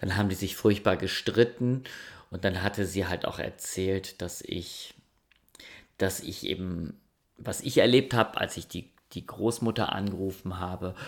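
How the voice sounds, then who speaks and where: A man's very deep, low voice, calm in tone and fairly slow, with fairly even intonation and long, frequent pauses, on a very clean recording with a silent background. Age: 50s. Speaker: sleep podcast host. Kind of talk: storytelling. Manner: hesitant.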